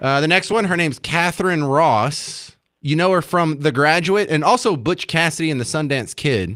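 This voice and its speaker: An animated man with an American accent talks at a moderate pace in a fairly high pitch. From Texas. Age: 40s. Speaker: radio talk show host. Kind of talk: call-in radio show, casual banter.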